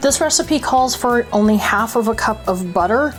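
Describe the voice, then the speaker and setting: A woman talks at a moderate pace with lively intonation. Music plays in the background. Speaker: home baker. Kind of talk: cooking tutorial.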